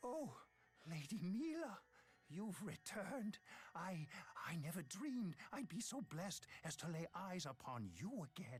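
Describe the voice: A woman performs a cartoonish character voice with a husky, rough edge and fairly low pitch. She moves at a fairly slow pace with big pitch swings and long, frequent pauses.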